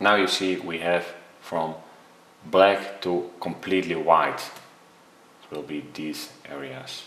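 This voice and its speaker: A man with a Dutch accent speaks with a very deep, low pitch at a very slow pace, using fairly even intonation and long, frequent pauses. His loudness swings widely, and audible room echo surrounds him. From Netherlands. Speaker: photography tutor. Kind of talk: tutorial. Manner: hesitant.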